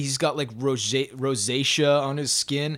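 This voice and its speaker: A man with a Canadian accent and a normal speaking voice talks at a fairly slow pace and fairly high pitch, the sound dry and close with no echo. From Canada, Saskatchewan (Saskatoon). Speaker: metal drummer. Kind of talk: casual chat. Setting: remote call.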